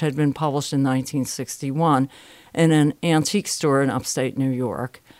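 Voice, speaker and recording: This woman's pitch is very deep and low, and she talks at a moderate pace. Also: dry, close sound with no echo. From Connecticut, US. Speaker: biographer and professor. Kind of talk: interview. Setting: conference venue.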